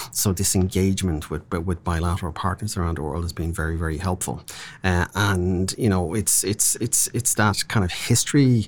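A man with an Irish accent and a very deep, low pitch talks at a moderate pace with ordinary pitch variation in a very clean recording with a silent background. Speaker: diplomat. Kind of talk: interview.

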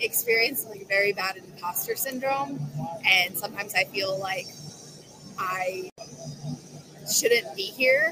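Against music in the background, a woman talks at a fairly slow pace with ordinary pitch variation. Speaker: detailing instructor. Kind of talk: casual interview.

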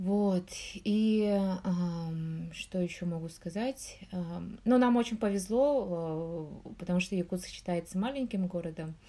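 Her pitch is medium, and this woman's tone is dark and mellow. She talks very slowly with ordinary pitch variation. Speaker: researcher in nutrition and public health. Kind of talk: interview.

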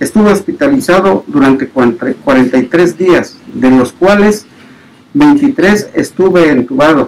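A man speaks very slowly at a high pitch with very wide pitch swings. Noticeable background noise is present. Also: very even loudness. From Oaxaca, Mexico. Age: 60s. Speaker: COVID-19 survivor. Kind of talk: testimony.

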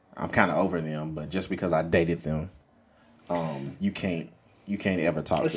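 In a Louisiana accent, a man speaks at a very deep, low pitch with monotone, flat intonation. His pace is moderate, broken by long, frequent pauses. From Monroe, Louisiana. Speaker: podcast host.

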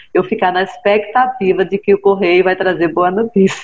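Amid noticeable background noise, a woman with medium pitch talks at a fairly quick pace in a monotone, flat intonation. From Brazil, Recife (Pernambuco). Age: 40s. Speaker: writer. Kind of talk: interview.

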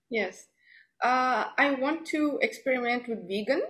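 A woman with a South African accent talks at a fairly slow pace with ordinary pitch variation. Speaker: home chocolatier and marketer. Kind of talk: casual interview. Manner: hesitant, filler-heavy.

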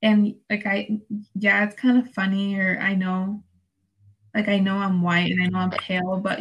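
A woman speaks at a medium pitch in a somewhat breathy voice. Her intonation is monotone and flat. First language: Spanish. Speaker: student podcast host. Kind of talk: casual chat. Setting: remote recording.

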